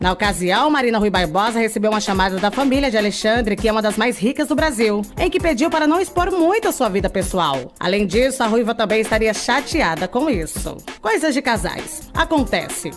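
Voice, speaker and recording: Over background music, a woman with a fairly high pitch sounds upbeat, her pitch swinging very widely while her loudness stays very even. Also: fairly quick pace. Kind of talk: entertainment gossip news presentation. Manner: upbeat, friendly.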